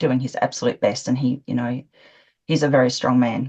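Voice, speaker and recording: Very deep and low, a woman's voice has a dark, mellow tone and an Australian accent. She talks at a fairly quick pace with monotone, flat intonation. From Australia, Adelaide. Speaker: interviewee, witness in crime case. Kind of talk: interview. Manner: laughs while talking.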